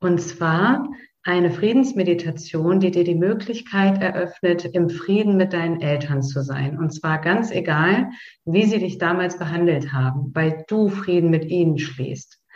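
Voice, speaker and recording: This woman has a normal speaking voice, pitched fairly low. She talks at a fairly slow pace with ordinary pitch variation. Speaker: podcast host guiding a meditation. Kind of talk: guided meditation. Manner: slow, calm, soothing, with long pauses; gentle, directive, intimate.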